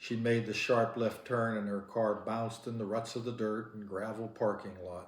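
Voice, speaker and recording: An unremarkable speaking voice from a medium-pitched man at a fairly slow pace. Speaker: audiobook narrator. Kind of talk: novel reading.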